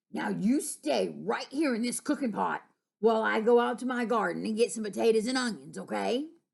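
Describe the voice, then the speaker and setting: Against a quiet background, a woman puts on a character voice, fairly high in pitch and fairly quick in pace. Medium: read story.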